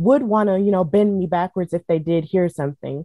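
A woman talks with an American accent. Her pitch is fairly low and moves in an ordinary way. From US South. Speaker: wrestling podcaster and commentator. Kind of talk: interview. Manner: frequent filler words.

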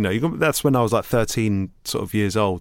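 A man speaks with a London accent at a fairly low pitch. The intonation is fairly even, and the recording is very clean with a silent background. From East London (Hackney). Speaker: DJ and producer. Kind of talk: interview conversation.

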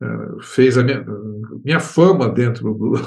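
A man talks at a very slow pace with vocal fry. His pitch is medium, and audible room echo surrounds the voice. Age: 70s. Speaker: composer and music professor. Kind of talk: interview. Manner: halting.

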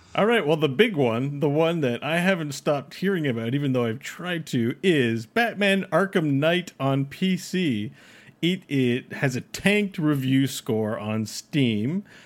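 Speaking at a fairly slow pace, a man with a fairly high pitch uses lively intonation on a very clean recording with a silent background. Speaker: podcast co-host. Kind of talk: casual conversational.

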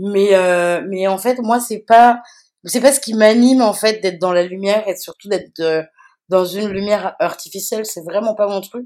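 Speaking fairly slowly with fairly even intonation, a woman of medium pitch shows big swings in loudness. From France. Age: 40s. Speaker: DJ and activist. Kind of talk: casual interview. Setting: remote recording. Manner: halting, many fillers and repetitions.

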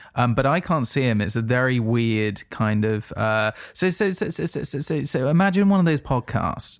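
An unremarkable speaking voice from a man, medium in pitch and moderate in pace, on a very clean recording with a silent background. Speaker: podcast host. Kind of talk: casual banter, comedic interview games.

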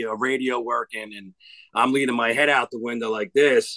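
In a strong New Jersey accent, a bright, sharp voice moves at a moderate pace, with a dry, close sound with no echo and a quiet background. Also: man. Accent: thick New Jersey. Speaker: hitting coach, former cop. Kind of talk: casual interview chat.

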